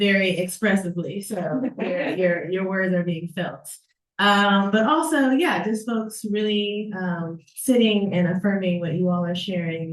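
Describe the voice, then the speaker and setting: A woman speaks at a fairly slow pace, somewhat breathy. Her intonation stays fairly even. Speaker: event moderator reading chat. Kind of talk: reading audience comments. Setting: live event with audience and Zoom.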